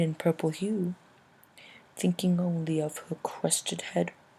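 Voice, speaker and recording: The woman's voice is fairly low and somewhat breathy. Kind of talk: poetry reading.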